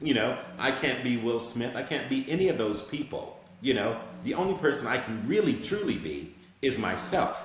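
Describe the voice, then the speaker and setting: Over noticeable background noise and audible room echo, a man of medium pitch talks at a moderate pace with lively intonation. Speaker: actor. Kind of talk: interview.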